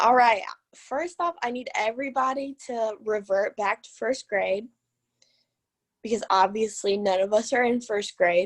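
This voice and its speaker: Dry and close with no echo, a woman's fairly high voice moves at a fairly slow pace with ordinary pitch variation over a quiet background. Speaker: student teacher giving a practice lesson. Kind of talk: mini lesson presentation. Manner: soft-spoken.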